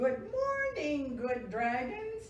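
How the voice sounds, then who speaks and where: A put-on character voice with very wide pitch swings, carrying a slight echo. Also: woman, high pitch for a woman. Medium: read story. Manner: courteous, kindly.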